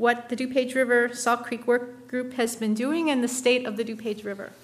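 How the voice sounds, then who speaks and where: A woman talks at a moderate pace. Her pitch is fairly high and her intonation fairly even. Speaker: municipal staff engineer. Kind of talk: speaker introduction. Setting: meeting room with live audience. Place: meeting room. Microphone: podium.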